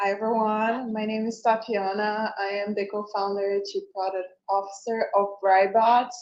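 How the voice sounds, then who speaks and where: Hardly pausing at all, a woman talks at a moderate pace with a fairly high pitch and monotone, flat intonation. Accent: Brazilian. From Brazil. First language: Portuguese. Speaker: tech company co-founder. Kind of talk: event presentation. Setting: live event with audience.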